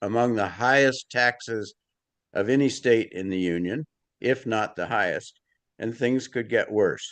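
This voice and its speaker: Against a quiet background, a man speaks at a fairly slow pace in a bright, sharp tone with ordinary pitch variation. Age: 80s+. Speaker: member of the public giving comment. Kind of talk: public hearing comment. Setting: video call.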